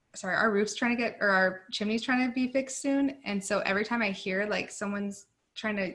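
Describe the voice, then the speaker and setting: A woman mumbles at a moderate pace in a bright, sharp tone, her medium pitch held to fairly even intonation. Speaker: nursing student tutor. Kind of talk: tutoring session. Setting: video call. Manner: mumbling.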